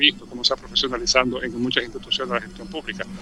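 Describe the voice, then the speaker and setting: This man talks at a very fast pace, with a fairly high pitch and ordinary pitch variation. There is noticeable background noise behind him. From Dominican Republic. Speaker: cultural commentator. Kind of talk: radio interview.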